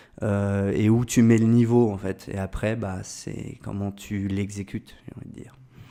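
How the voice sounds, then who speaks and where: The delivery is fairly slow, with hardly any pauses. The tone is dark and mellow, and the intonation is monotone and flat. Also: man, fairly low pitch for a man. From France, Orléans area. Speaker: agency founder, entrepreneur. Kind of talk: podcast interview. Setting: agency office. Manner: hesitant with many fillers.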